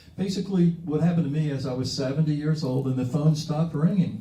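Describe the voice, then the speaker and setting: A fairly high-pitched man talks very fast with fairly even intonation. Audible room echo and noticeable background noise surround him. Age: 70s. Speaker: comic book artist and letterer. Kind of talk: interview at a public talk and signing. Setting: comic shop event with audience. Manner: halting, many fillers and repeated words.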